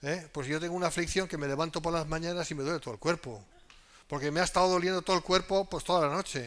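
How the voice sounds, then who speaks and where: The recording is very clean, with a silent background. A man with an unremarkable speaking voice talks at a fairly high pitch with ordinary pitch variation. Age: 60s. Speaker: pastor. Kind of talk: sermon. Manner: conversational.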